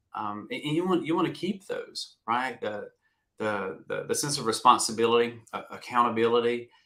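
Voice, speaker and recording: Speaking at a moderate pace, a man has a Southern US accent. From US South. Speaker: retired navy veteran, career coach. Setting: live video stream.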